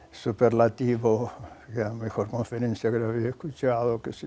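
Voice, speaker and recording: Pitched at a medium level, a man talks at a moderate pace with a dark, mellow tone. His intonation is monotone and flat. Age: 90s. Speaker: scientist and professor. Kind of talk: documentary interview.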